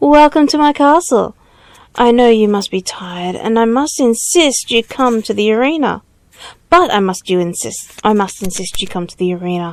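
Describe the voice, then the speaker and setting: In a put-on character voice, this woman pitches her voice fairly high. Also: moderate pace. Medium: read story. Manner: gleeful, pushy.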